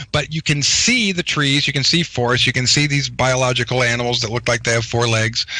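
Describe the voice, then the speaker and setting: Over noticeable background noise, a man at medium pitch talks at a fairly quick pace with hardly any pauses. His loudness stays very even and his intonation fairly even. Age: 40s. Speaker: guest claiming Mars service. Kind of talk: interview.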